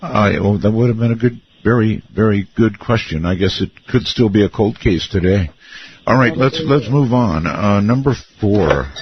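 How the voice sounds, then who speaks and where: The voice is somewhat breathy, with lively intonation and very even loudness. It moves at a moderate pace. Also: man, fairly low pitch for a man. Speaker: radio talk show host. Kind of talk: late-night radio talk show.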